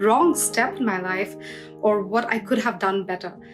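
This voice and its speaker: A woman speaks at a moderate pace. Behind her, music plays in the background. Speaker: poet and spoken word artist. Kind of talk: personal reflective talk to camera.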